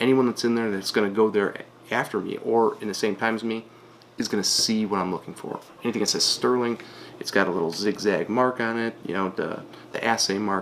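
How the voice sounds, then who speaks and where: A man at a medium pitch, talking at a fairly quick pace with fairly even intonation over noticeable background noise. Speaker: online reseller. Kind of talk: tutorial. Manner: casual.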